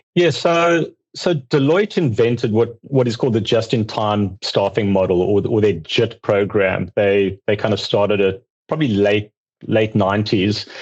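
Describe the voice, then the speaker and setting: With a South African accent, a man speaks at a fairly low pitch and a moderate pace, with ordinary pitch variation and very even loudness. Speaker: accounting outsourcing firm founder. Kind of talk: podcast interview.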